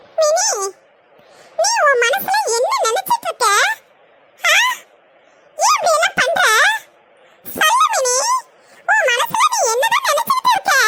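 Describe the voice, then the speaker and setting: A squeaky, cartoonish character voice from a woman, extremely high-pitched with lively intonation, fairly slow and very even in loudness. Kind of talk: cartoon comedy.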